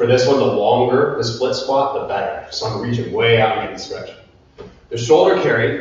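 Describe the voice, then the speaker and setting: A man's voice at a moderate pace with strong room echo. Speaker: fitness instructor. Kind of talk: workout instruction. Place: gym. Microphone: camera far.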